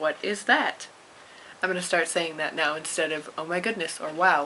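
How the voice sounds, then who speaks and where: A woman talks while noticeable background noise carries on underneath. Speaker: amateur storyteller reading to a friend. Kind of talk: reading aloud; casual chat. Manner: quiet.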